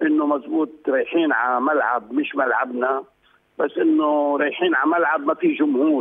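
A man speaks at a fairly quick pace with fairly high pitch and lively intonation. His voice has a slightly husky edge and some vocal fry.

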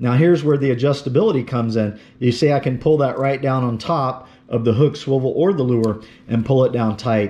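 A man's dark, mellow, medium-pitched voice at a moderate pace, with ordinary pitch variation and few pauses.

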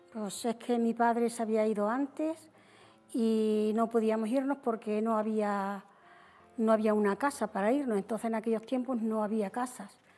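Faint music sits in the background as a woman speaks at a moderate pace. Her tone is dark and mellow, her intonation fairly even. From Spain, Extremadura (Cáceres). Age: 70s. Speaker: widow, TV show guest. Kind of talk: interview storytelling. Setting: TV studio with audience. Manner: halting. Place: studio. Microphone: lapel.

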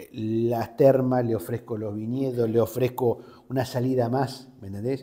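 Against a quiet background, a man speaks at a moderate pace in a medium pitch with a dark, mellow tone. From Argentina, Río Negro (Patagonia); Río Negro, Argentina. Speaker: journalist. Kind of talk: interview. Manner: hesitant, with fillers and repetitions. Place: studio. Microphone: lapel.

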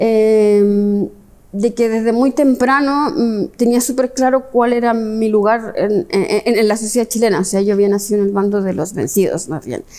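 A woman's fairly high voice at a fairly slow pace, with ordinary pitch variation. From Chile. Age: 50s. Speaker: history professor. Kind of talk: interview. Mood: reflective, earnest. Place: hall.

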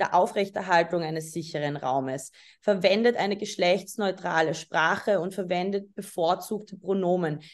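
A woman talks at a moderate pace in a normal speaking voice. Her medium pitch shows ordinary variation. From Austria, Vienna. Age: 20s. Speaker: photographer. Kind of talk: lecture. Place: home room. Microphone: webcam.

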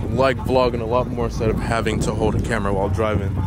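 With loud background noise but a dry sound with no echo, a man talks at a very fast pace with ordinary pitch variation. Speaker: car vlogger. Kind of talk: casual vlog chat. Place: street.

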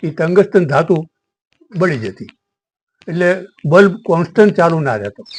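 A man speaks with a high pitch and lively intonation. His loudness rises and falls sharply. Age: 70s. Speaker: retired engineer sharing stories. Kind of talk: storytelling monologue.

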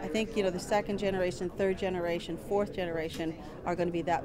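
Clear music plays behind a woman's voice. Her intonation is fairly even. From Ontario, Georgina Island First Nation; Ontario. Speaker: educator. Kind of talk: interview. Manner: halting, with repetitions and fillers. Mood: calm, reflective, earnest. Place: hall.

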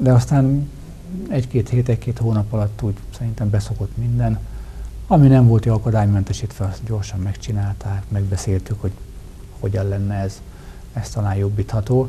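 A man's fairly low voice at a fairly quick pace, with ordinary pitch variation, long, frequent pauses and light background noise. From Hungary, Tolna county (Tamási); Hungary. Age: 40s. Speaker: member of parliament; guest. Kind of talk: TV interview. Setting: studio. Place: studio. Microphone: lapel.

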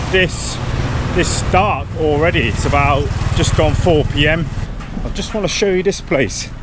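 Noticeable background noise runs under a dry, echo-free recording of speech at a fairly slow pace. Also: man, ordinary pitch variation. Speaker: travel vlogger. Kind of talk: casual vlog chat. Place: street. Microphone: phone near.

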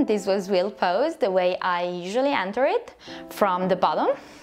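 Faint music plays in the background as a woman talks at a moderate pace. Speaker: yoga teacher. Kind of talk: tutorial. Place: home room. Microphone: lapel.

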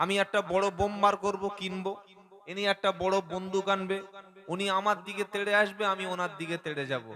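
This man's voice is high-pitched, raised and projected, with an animated tone. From West Bengal, South 24 Parganas (Baruipur). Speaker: Islamic preacher. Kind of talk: religious sermon at a public gathering. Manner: animated, engaging the crowd.

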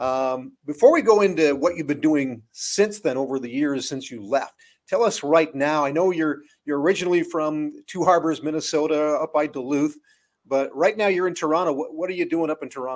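Moderate pace with ordinary pitch variation. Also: man, fairly high pitch for a man.

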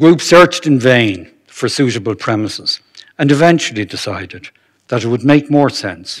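A man with a Dublin accent at a moderate pace, big swings in loudness, quiet background. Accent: Irish (Dublin). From Ireland. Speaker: retired anaesthetist giving a history talk. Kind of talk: lecture. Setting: stage with audience. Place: hall. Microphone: podium.

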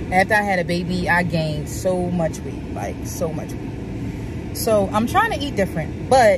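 Over noticeable background noise, a woman's voice comes through dry, with no echo. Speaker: vlogger. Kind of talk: casual vlog chat. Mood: upbeat, playful. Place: car. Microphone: phone near.

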